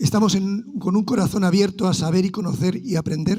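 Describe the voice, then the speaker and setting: A man with a high pitch and a dark, mellow tone shows ordinary pitch variation. His pace is moderate. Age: 60s. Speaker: pastor. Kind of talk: sermon.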